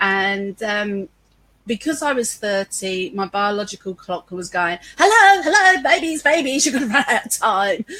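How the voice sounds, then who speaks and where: Speaking at a moderate pace with a London accent, a woman uses a fairly high pitch and very wide pitch swings. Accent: London English with a touch of Cockney. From London, East End. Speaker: business owner. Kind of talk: interview conversation. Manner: animated.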